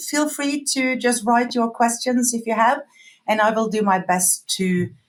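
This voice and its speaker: A woman speaks with a fairly high pitch. Her pace is moderate and her pitch varies in an ordinary way. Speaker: customer feedback company employee. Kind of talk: webinar presentation. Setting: online webinar.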